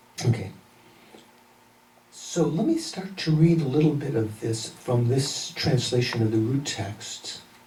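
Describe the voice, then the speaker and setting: Speaking fairly slowly with long, frequent pauses, a man with a medium pitch and lively intonation is heard amid audible room echo and noticeable background noise. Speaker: Buddhist teacher. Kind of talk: lecture.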